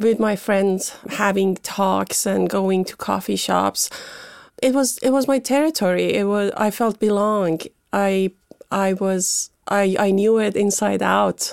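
Very slow speech from a woman with a Persian accent and fairly even intonation. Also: medium pitch for a woman. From Iran, Tehran. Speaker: author. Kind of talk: radio interview. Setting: studio.

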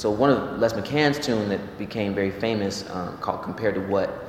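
A man's fairly low voice with an American accent at a moderate pace and ordinary pitch variation, amid noticeable background noise and audible room echo. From Chicago South Side. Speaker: musician and teaching artist. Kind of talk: casual interview. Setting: art gallery. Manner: halting with many fillers.

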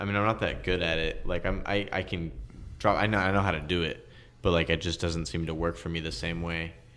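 A man's very deep, low voice in an American accent, with ordinary pitch variation and a fairly quick pace. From San Jose area, California (Milpitas). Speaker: music producer and DJ. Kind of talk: casual interview chat.

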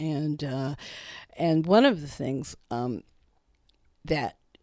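A dark, mellow tone carries a Brooklyn accent at a very slow pace. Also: woman. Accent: Brooklyn New York. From Brooklyn, New York (South Brooklyn near Coney Island). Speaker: photographer and author. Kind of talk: interview.

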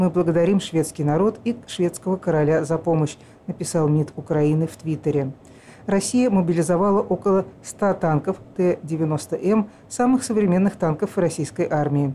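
A dark, mellow tone with ordinary pitch variation. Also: woman, fairly low pitch for a woman, moderate pace. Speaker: press review presenter. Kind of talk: news reading.

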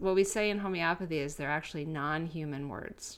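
A woman with an unremarkable speaking voice uses lively intonation at a fairly low pitch. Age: 50s. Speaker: homeopathy practitioner. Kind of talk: casual interview.

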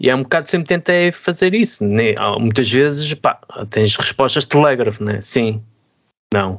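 Speaking with a European Portuguese accent, a man has a medium pitch and lively intonation. His pace is moderate. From Ribatejo, Portugal. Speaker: podcast co-host. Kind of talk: casual chat.

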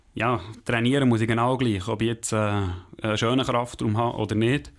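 Speaking at a moderate pace, a man of medium pitch keeps a fairly even intonation on a very clean recording with a silent background. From Switzerland, Bern region (Langenthal). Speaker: ice hockey player. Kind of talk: interview.

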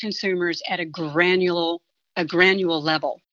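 A woman's normal speaking voice at medium pitch, with a fairly slow pace and fairly even intonation. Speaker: marketing professor. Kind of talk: expert commentary.

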